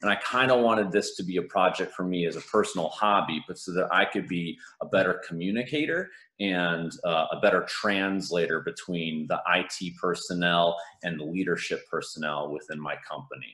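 This man speaks at a moderate pace in a very deep, low pitch, with a bright, sharp tone, ordinary pitch variation and a quiet background. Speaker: conference presenter. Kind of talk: conference talk. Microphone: video call.

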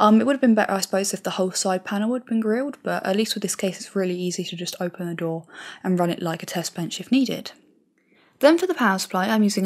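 A soft-spoken woman at medium pitch, on a very clean recording with a silent background. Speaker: tech YouTuber. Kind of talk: tutorial.

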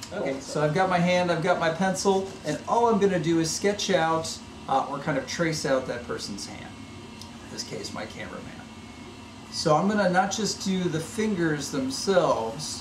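There is noticeable background noise behind this man. He speaks at a moderate pace, with big swings in loudness. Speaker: maker educator. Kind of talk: tutorial. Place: workshop.

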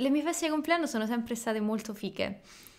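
A woman speaks against a quiet background. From Rome, Italy; Italy. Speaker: podcast co-host, Italian teacher. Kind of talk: casual chat. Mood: cheerful, animated. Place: home room. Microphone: studio mic.

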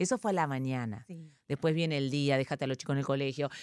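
A woman speaks very fast with an Argentine accent. The recording is very clean, with a silent background and a dry, close sound with no echo. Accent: Rioplatense Argentine Spanish. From Argentina. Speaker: comedian and actress. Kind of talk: casual chat.

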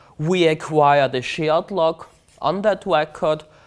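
A man speaks very slowly in a German accent, his pitch fairly high and his intonation fairly even. The background is quiet. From Austria, Vienna. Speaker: conference speaker, database expert. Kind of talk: technical presentation. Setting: stage with audience. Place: hall. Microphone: lapel.

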